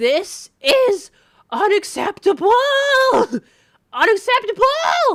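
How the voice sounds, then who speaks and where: In a put-on character voice, extremely high and squeaky, the speaker shouts with very wide pitch swings. The pace is very slow, with long, frequent pauses. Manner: screaming, indignant.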